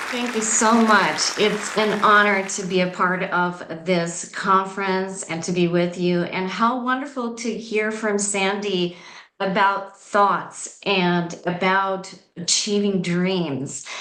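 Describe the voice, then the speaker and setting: Spoken at a very slow pace with fairly even intonation, the voice carries audible room echo. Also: woman, medium pitch for a woman. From Southeast Europe. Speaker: spiritual coach. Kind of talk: conference presentation. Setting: video call.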